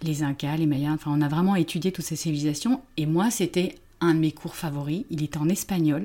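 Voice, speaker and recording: The woman's voice is very deep and low. Her tone is dark and mellow. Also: very clean recording, silent background. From France. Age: 50s. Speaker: therapist. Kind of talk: casual chat.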